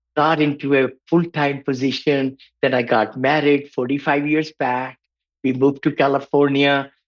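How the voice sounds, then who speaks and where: With monotone, flat intonation, a man speaks in a fairly high-pitched voice. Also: moderate pace, very even loudness. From India. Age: 70s. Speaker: real estate investor and mentor. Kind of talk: podcast interview.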